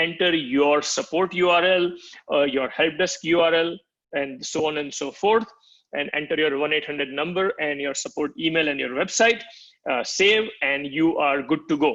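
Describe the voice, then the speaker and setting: A man speaks in a plain, everyday voice, fairly high-pitched, with ordinary pitch variation at a moderate pace. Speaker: product marketing executive. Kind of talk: product demo walkthrough.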